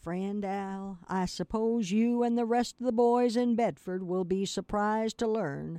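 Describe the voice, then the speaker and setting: A woman's normal speaking voice at a fairly slow pace, with ordinary pitch variation, a dry, close sound with no echo and a quiet background. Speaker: radio host and reader. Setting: radio studio, streamed online. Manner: relaxed, conversational host.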